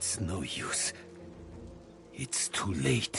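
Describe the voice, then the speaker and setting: A man puts on a character voice while clear music plays in the background. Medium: game stream. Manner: measured, solemn.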